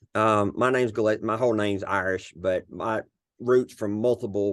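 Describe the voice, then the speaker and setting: A man with a Southern US accent, fairly even intonation, and a quiet background. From US South, Arkansas. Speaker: cybersecurity leader and veteran mentor. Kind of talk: casual podcast interview.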